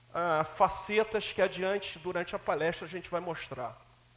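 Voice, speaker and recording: A man with a high pitch talks at a moderate pace. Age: 60s. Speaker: lecturer on metrology and quality. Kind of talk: lecture.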